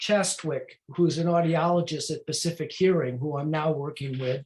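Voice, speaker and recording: A man talks with a high pitch. His intonation stays fairly even. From US Midwest, Chicago area. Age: 70s. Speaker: hearing aid user and support group speaker. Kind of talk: presentation to a support group. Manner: halting, many fillers and restarts.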